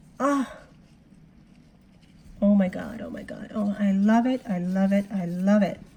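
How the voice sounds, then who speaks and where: At a fairly slow pace, a woman of medium pitch sounds somewhat breathy, with big swings in loudness and long, frequent pauses. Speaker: worm farmer. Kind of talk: casual talk to camera.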